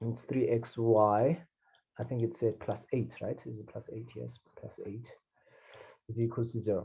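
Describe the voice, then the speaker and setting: Speaking at a fairly slow pace, a man leaves long, frequent pauses. His loudness swings widely. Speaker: math tutor. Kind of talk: tutoring session. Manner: halting.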